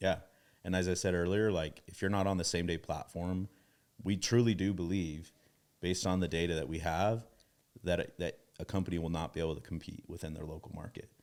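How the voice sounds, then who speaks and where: A man's very deep, low voice in a Utah accent, fairly quick in pace, with fairly even intonation. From Utah, US. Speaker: tech company CEO. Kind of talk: casual interview chat.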